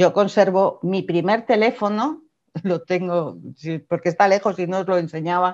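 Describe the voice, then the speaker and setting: Her voice is an ordinary speaking voice, medium in pitch for a woman, with ordinary pitch variation and a moderate pace. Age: 50s. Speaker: entrepreneur, former publishing executive. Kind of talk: interview. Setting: video call.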